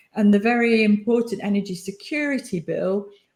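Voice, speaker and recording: A woman speaks in a fairly high, somewhat breathy voice at a moderate pace, with ordinary pitch variation. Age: 60s. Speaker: energy industry panelist. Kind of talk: panel discussion.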